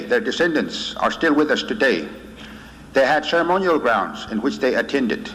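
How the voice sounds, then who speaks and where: With noticeable background noise behind him, a man talks at a moderate pace with very wide pitch swings. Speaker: medicine man. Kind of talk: lecture to students. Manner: gentle urgency.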